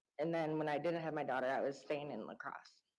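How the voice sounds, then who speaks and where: An Upper Midwest accent with audible room echo. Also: woman. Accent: Upper Midwest American. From Wisconsin, Vernon County. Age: 30s. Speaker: trial witness. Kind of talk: witness testimony. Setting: courtroom. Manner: hesitant.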